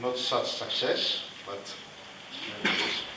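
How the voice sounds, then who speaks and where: A man with a Greek accent speaks at a fairly slow pace. Audible room echo and noticeable background noise surround him. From Greece, Athens. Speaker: plumber apprentice. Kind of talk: talk to an audience. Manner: halting, many fillers.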